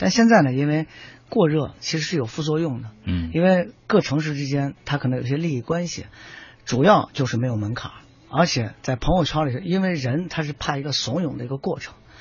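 A man's fairly high, somewhat breathy voice with lively intonation at a fairly quick pace. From Shaanxi, China. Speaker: running club founder and nutrition expert. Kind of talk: radio panel talk. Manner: halting, many fillers.

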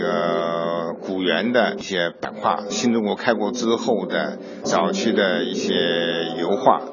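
A man talks very slowly, his pitch varying in an ordinary way, with noticeable background noise present. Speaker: museum curator. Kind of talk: interview soundbite.

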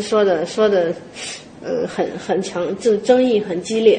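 A woman speaks with a Henan accent at a moderate pace, with ordinary pitch variation. Audible room echo and noticeable background noise are present. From Henan, China. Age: 30s. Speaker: traditional pastry chef. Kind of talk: interview.

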